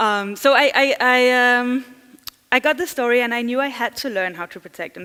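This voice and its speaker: A woman with a Danish accent speaks at a fairly high pitch, her tone bright and sharp and her intonation lively. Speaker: journalist and digital security trainer. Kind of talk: conference talk. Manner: fast.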